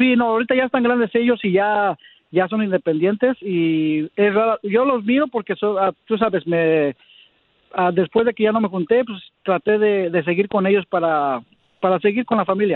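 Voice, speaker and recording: With ordinary pitch variation, a man whose voice sits high talks at a moderate pace. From Mexico City, then Long Beach, California from 14. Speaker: caller looking for a partner. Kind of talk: radio call-in chat.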